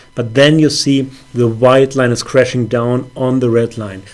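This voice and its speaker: A man's medium-pitched voice with a non-native accent, at a fairly slow pace, with noticeable background noise. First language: not English. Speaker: forex trader. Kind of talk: trading account review with chart walkthrough. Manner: hesitant, many fillers.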